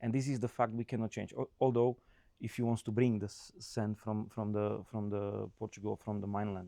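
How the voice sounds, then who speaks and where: Over a quiet background, a man with a non-native accent talks at a moderate pace in a fairly low pitch, his dark, mellow tone holding a fairly even intonation. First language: not English. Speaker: construction consultant. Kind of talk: casual chat. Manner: halting.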